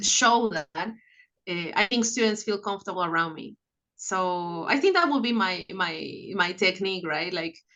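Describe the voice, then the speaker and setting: A woman with a non-native accent talks at a moderate pace in a medium pitch, with ordinary pitch variation. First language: not English. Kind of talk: interview.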